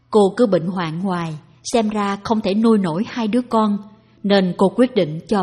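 Natural-voiced reading aloud with ordinary shifts in pitch.

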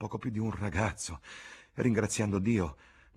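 Fairly even intonation in an unforced voice reading out loud

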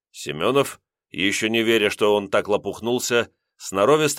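Over a quiet background, a voice reads in an unforced way with ordinary pitch variation.

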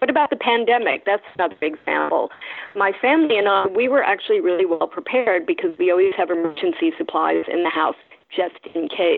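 Loudness stays very even at a fairly quick pace. Noticeable background noise is present. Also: woman. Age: 60s. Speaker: journalism teacher and former foreign correspondent. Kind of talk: interview.

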